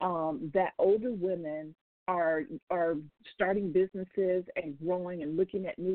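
The pace is moderate. Pitch variation is ordinary. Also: woman. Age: 50s. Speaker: radio host and business coach. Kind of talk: live radio talk show monologue. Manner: animated.

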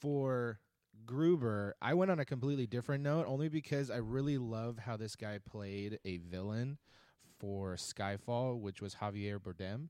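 A man with an unremarkable speaking voice speaks at medium pitch with lively intonation. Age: 30s. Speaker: podcast panelist. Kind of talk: casual chat.

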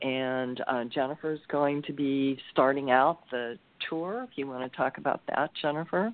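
Her pitch very deep and low, a woman speaks at a fairly slow pace with ordinary pitch variation. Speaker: spiritual teacher. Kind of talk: interview.

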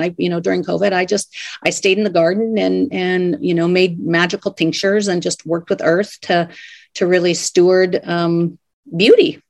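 A woman speaks at a fairly quick pace in a medium pitch. It is a plain, everyday voice. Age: 50s. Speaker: life coach and author. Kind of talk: interview.

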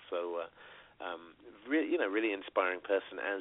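Here is a man speaking with a British accent. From Britain. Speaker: radio co-host. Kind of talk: casual chat. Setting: phone call.

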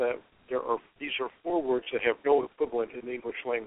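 A man at a medium pitch, with an unremarkable speaking voice, moves along at a fairly quick pace. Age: 60s. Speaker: yoga and meditation teacher. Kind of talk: casual chat.

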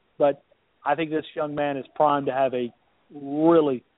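Speaking in monotone, flat intonation, a man with an Alabama accent has a fairly high pitch. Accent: Alabama Southern US. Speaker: sports radio contributor. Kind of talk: casual chat.

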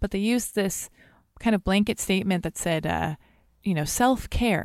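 A woman with a Californian accent speaks at a moderate pace and medium pitch, with ordinary pitch variation. The recording is very clean with a silent background and a dry, close sound with no echo. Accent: Californian American. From Los Angeles. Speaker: blogger and podcaster. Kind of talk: casual interview chat. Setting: studio in a comic book shop.

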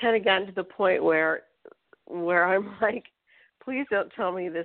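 It is an unremarkable speaking voice, a woman's, fairly low in pitch. She keeps a moderate pace. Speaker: radio host. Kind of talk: interview.

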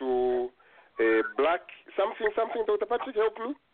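A man is speaking. His pitch swings very widely. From Zambia. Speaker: radio show host. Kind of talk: casual live call-in discussion. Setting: phone call-in show.

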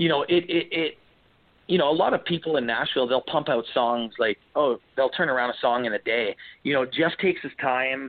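Speaking at a fairly quick pace with a Canadian accent, a man uses a fairly high pitch, ordinary pitch variation and an unremarkable speaking voice. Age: 30s. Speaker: country singer-songwriter. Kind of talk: interview.

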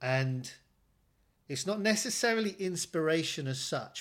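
A man's fairly high-pitched voice with an English accent and lively intonation. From England. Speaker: actor. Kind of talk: casual chat.

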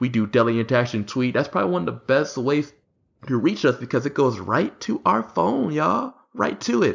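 Fairly quick delivery, very even loudness and ordinary pitch variation. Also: man, medium pitch for a man. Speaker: podcast co-host. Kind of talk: casual chat. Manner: enthusiastic.

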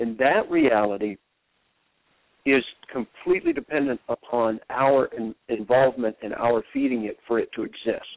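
A man speaks in a plain, everyday voice at medium pitch. His pace is moderate and his pitch variation ordinary. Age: 50s. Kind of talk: interview.

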